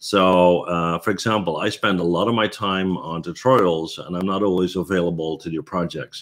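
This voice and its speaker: A man's very deep, low voice at a moderate pace with hardly any pauses, against a quiet background. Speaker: 3D artist and tutorial creator. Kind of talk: live stream Q&A. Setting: live stream. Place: home room. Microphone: webcam.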